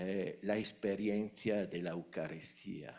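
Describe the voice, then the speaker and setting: With audible room echo around him, a man with an Italian accent speaks at a fairly low pitch. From Italy. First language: Italian (speaking Spanish). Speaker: academic, conference attendee asking question. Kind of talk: Q&A at academic conference. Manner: hesitant, many fillers.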